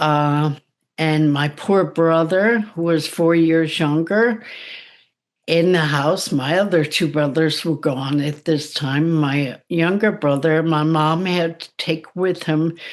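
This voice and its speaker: A woman's very deep, low voice, very slow and fairly even in intonation, over a quiet background. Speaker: psychic medium and spiritual coach. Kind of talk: interview testimony. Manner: careful, slower enunciation after speech damage; hesitant, with fillers.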